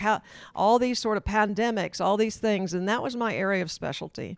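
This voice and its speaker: In an American accent, the speaker goes at a very fast pace on a very clean recording with a silent background. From US South. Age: 60s. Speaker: health care advisor. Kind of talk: interview.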